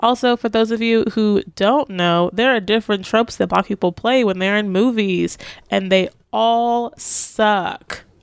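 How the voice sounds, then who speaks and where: A woman with an American accent speaks in an unremarkable speaking voice, fairly high-pitched for a woman, with ordinary pitch variation and very even loudness. The recording is very clean and dry, close with no echo, over a silent background. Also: fairly slow pace. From Southeast Texas. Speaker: podcaster. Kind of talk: interview. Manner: casual, filler-heavy.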